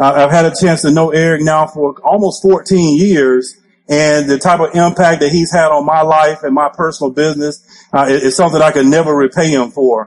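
This man, with an Alabama accent, has a fairly high pitch and keeps his loudness very even. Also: moderate pace. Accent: Southern US (Alabama). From US South, Alabama. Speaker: network marketing trainer. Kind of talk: motivational training talk. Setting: stage with audience. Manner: animated.

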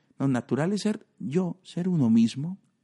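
A man's dark, mellow tone with ordinary pitch variation, dry and close with no echo, against a quiet background. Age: 40s. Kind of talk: podcast monologue.

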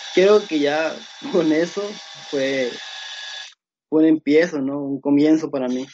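Pitched fairly high, a man speaks at a very slow pace with fairly even intonation. Long, frequent pauses run through his speech. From Mexico, Sinaloa. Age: 20s. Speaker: computer engineer and security researcher. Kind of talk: casual interview. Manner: halting, many fillers.

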